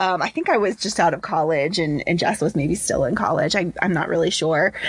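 A woman with an American accent, an ordinary speaking voice, medium pitch, ordinary pitch variation and a fairly quick pace. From Cincinnati, Ohio, US. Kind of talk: casual chat.

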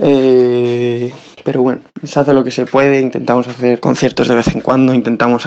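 Moderate-paced speech from a man, noticeable background noise behind it. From Spain, Salamanca. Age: 20s. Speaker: musician. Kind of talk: recorded voice message.

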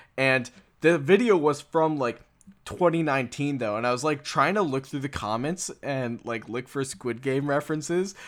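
Here a man with an American accent talks at a moderate pace in an unremarkable speaking voice with ordinary pitch variation, on a very clean recording with a silent background. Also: fairly high pitch for a man. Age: 20s. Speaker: podcast host. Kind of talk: casual chat.

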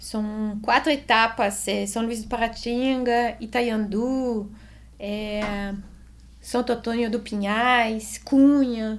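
Speaking very slowly in a Swiss French accent, a woman uses a fairly high pitch with monotone, flat intonation. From Switzerland. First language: French (speaking Portuguese). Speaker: amateur cyclist and real estate agent. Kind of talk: casual interview.

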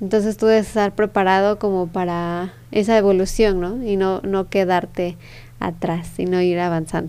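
With fairly even intonation, a woman talks at a medium pitch in a dark, mellow tone. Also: moderate pace. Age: 20s. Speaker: entrepreneur. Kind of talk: interview.

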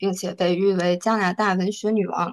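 Speaking in a normal speaking voice, a woman at medium pitch keeps a moderate pace and fairly even intonation. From northeast China. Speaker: book club member. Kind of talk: book review talk.

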